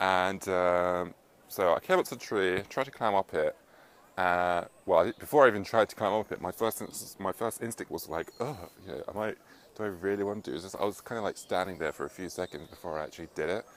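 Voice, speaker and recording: The man's pitch is fairly low, with ordinary variation, and he talks at a fairly quick pace. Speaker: self-help vlogger. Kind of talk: casual vlog monologue. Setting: outdoors, up in a tree. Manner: fast.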